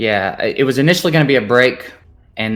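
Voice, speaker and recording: Music plays behind a man who talks fairly quickly with ordinary pitch variation in a Southern US accent. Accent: Southern accent, noticeable. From US South, Memphis. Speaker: gaming content creator. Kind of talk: casual interview chat.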